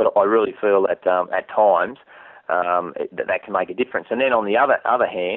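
With an Australian accent, a man talks at a fairly quick pace. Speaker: fishing TV host. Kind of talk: interview. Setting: office. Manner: animated.

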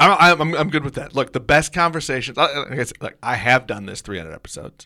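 A man speaks with a bright, sharp tone and vocal fry. The recording is very clean, with a silent background. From US Midwest, Kansas City. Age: 40s. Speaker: podcast co-host and producer. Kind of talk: casual chat.

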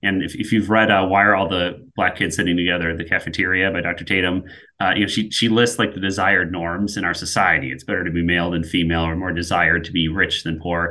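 With an American accent, a man talks at a very fast pace with hardly any pauses. His pitch is very deep and low, and his intonation fairly even. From US Midwest. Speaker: project manager. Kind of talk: casual chat.

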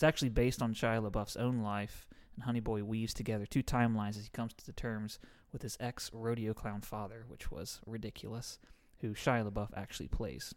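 Fairly quick and with big swings in loudness, a man with an ordinary speaking voice talks at medium pitch with fairly even intonation. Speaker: podcast co-host. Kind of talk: casual banter, comedic chat. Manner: joking, playful.

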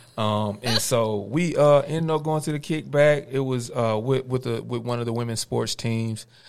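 A man with a Georgia accent at medium pitch and moderate pace, with ordinary pitch variation and hardly any pauses. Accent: Southern US, Georgia. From US South, Cordele, Georgia. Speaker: hip-hop artist, former college athlete. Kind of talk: radio interview. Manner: halting, many fillers.

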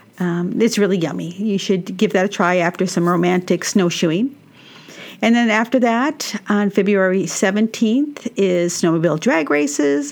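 A plain, everyday voice with an American accent speaks at a moderate pace, with lively intonation and very even loudness. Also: woman, medium pitch for a woman. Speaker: radio host. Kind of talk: scripted intro and sponsor read. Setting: studio.

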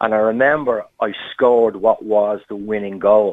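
Fairly low male voice, pitch varying in an ordinary way. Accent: Irish. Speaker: caller. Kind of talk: phone-in call, storytelling. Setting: phone call.

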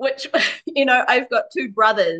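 A woman with a New Zealand accent, a bright, sharp tone, and a dry, close sound with no echo. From New Zealand (Māori, Wairarapa). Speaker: Māori mother in bicultural couple. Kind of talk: casual chat.

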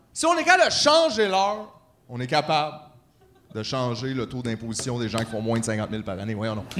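Amid noticeable background noise, a man at medium pitch speaks with lively intonation. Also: fairly quick pace. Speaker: podcast co-host. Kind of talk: live podcast with audience. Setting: stage with audience.

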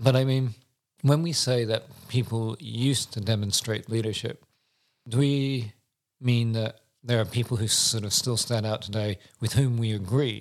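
A man at a medium pitch and moderate pace, with fairly even intonation. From Britain. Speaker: podcast co-host. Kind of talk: casual chat.

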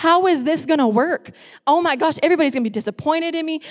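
A woman with a US Midwestern accent talks at a very fast pace in an animated, angry tone. Her intonation is lively. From Iowa, US Midwest. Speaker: youth pastor. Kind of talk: emotional personal testimony in a church service, reliving a crisis of faith. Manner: run-on, repetitive phrasing with quick laughs; animated and impassioned, re-enacting her angry shouts at God.

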